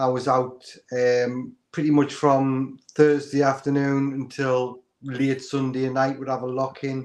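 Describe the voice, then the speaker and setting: A man speaks at a medium pitch and a fairly slow pace. His intonation is monotone and flat. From northeast England. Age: 40s. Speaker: guest on diet livestream. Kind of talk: casual chat.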